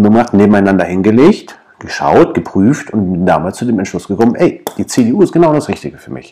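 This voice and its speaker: A man at a very fast pace, fairly low in pitch, with lively intonation. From Wilhelmshaven, northern Germany. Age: 20s. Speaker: local council candidate, party official. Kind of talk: casual interview.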